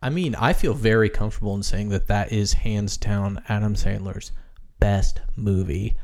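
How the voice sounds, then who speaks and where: A man with an American accent speaks in a plain, everyday voice, fairly low in pitch, at a moderate pace. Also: ordinary pitch variation. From US Midwest. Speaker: podcast host. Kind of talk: casual chat.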